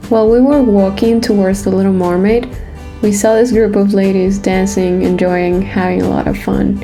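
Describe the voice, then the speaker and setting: Music plays in the background as a woman speaks. Her pace is moderate and her pitch variation ordinary. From Venezuela. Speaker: travel vlogger. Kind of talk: travel vlog narration.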